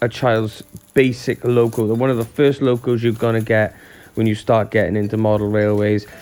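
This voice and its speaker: Music plays in the background. A man speaks at medium pitch and a moderate pace. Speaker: model railway YouTuber. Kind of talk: unboxing review. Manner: casual, chatty.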